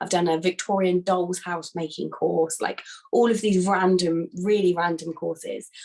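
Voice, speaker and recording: A woman with a British accent speaks at a medium pitch and moderate pace. Her intonation is monotone and flat. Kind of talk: casual talk to a business group.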